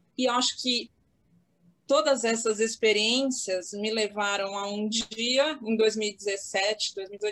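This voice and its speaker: Fairly even intonation from a woman with a fairly high pitch. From Santos, São Paulo state, Brazil. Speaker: lawyer. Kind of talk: casual chat. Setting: video call from home office.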